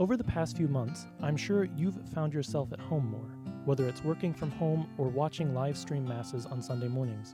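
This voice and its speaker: Music plays in the background as a man talks at a moderate pace. His pitch is medium, and his intonation is lively. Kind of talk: radio promo announcement. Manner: friendly, conversational.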